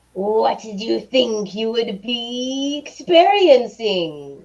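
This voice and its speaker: A put-on, female-sounding character voice speaks very slowly in a menacing tone. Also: fairly high pitch for a woman. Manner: menacing, taunting.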